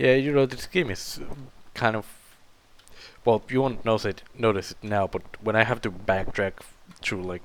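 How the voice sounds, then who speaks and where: With a non-native accent, a man of fairly low pitch talks at a moderate pace, leaving long, frequent pauses. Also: ordinary pitch variation. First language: not English. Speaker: gaming video creator. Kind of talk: let's play commentary. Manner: halting, many fillers.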